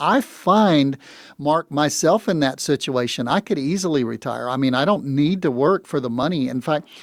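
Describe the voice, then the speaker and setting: A man with an American accent talks at a moderate pace in a normal speaking voice, his intonation lively, on a very clean recording with a silent background. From US South. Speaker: retirement financial advisor. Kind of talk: radio talk show conversation.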